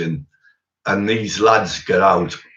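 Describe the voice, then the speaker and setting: Speaking with a Teesside accent, a man has a very deep, low pitch and ordinary pitch variation. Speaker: former doorman telling stories. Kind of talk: casual storytelling chat.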